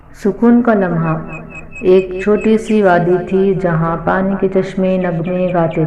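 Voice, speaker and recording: With music in the background, a soft-spoken woman talks in a monotone, flat manner. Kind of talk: calm Urdu story narration. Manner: soft-spoken, peaceful.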